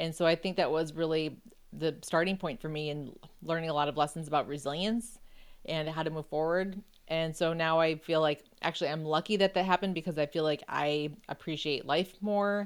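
In an American accent, a normal speaking voice moves at a fairly quick pace with fairly even intonation, recorded very cleanly against a silent background. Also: woman, fairly low pitch for a woman. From Buffalo, New York, US. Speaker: author and journalist. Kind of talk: interview conversation.

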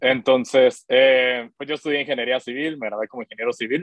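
At a moderate pace, a man speaks at a medium pitch in an ordinary speaking voice. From Guatemala. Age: 30s. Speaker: tech startup founder. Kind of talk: interview.

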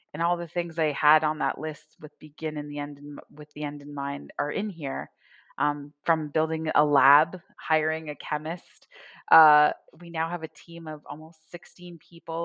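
A woman with a very deep, low voice talks at a moderate pace in a monotone, flat delivery, her loudness swinging widely. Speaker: entrepreneur. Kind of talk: interview. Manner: halting.

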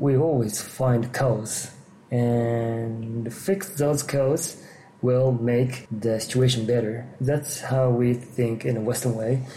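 A man with a Japanese accent and medium pitch speaks at a very slow pace with fairly even intonation and very even loudness, amid noticeable background noise and audible room echo. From Japan, Kanagawa Prefecture. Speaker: geriatric psychiatrist and yoga teacher. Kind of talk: interview. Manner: halting.

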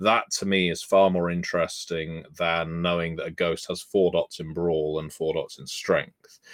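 A man in a British accent at a moderate pace, with hardly any pauses. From UK. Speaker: tabletop game designer. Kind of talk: podcast interview.

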